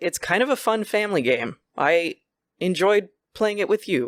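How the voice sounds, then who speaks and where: At a moderate pace, the voice comes through a very clean recording with a silent background. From Quebec, Canada. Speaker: podcast host. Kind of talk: casual chat.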